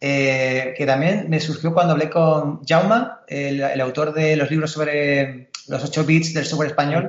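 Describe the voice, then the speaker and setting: This is a man's ordinary speaking voice with a fairly high pitch. He keeps a fairly slow pace. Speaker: podcast host. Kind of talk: casual interview chat.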